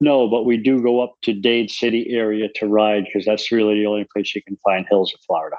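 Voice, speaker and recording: This is a normal speaking voice: a man with an American accent, fairly low in pitch, with fairly even intonation. He talks at a fairly quick pace with hardly any pauses. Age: 60s. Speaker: amateur cyclist. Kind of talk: casual chat.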